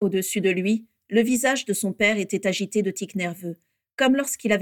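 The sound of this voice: An unforced reading voice with ordinary pitch variation sits over a quiet background.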